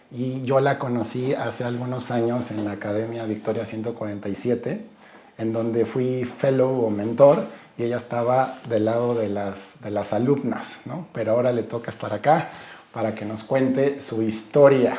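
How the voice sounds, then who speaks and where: Through audible room echo and noticeable background noise, a man speaks at a medium pitch and moderate pace with fairly even intonation. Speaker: podcast host. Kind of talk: podcast interview.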